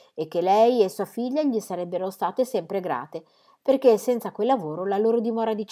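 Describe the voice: The pitch moves in an ordinary way through this plain reading aloud.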